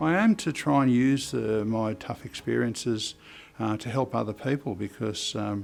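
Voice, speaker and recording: This man speaks with an Australian accent. His pitch is fairly low, with ordinary pitch variation. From Australia, Upper Hunter, New South Wales. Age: 70s. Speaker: mental health consumer representative. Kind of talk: personal testimony. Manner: halting, many fillers.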